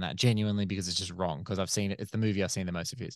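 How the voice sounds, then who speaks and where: Against a quiet background, a man with an Australian accent speaks at a fairly low pitch. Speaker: film critic and podcaster. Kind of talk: casual chat.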